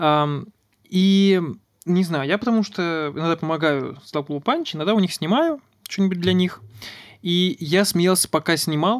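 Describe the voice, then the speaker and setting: On a very clean recording with a silent background, a man with a high pitch talks fairly slowly, his loudness very even and his pitch varying in an ordinary way. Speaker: podcast host. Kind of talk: casual chat.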